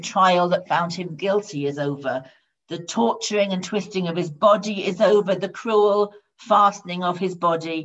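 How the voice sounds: Quiet background behind a natural reading voice.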